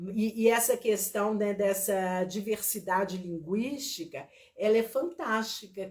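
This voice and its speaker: Her voice is somewhat breathy, with a medium pitch and ordinary pitch variation. This woman speaks at a very slow pace. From Minas Gerais, Brazil (small town near Viçosa). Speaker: teacher and therapist. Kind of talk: online lecture with live chat. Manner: slow, drawn-out.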